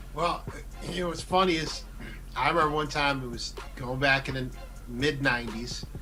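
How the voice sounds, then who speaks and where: A man speaks with long, frequent pauses. Audible room echo and noticeable background noise are present. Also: moderate pace. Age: middle-aged. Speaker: talk show host. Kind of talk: casual chat. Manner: animated.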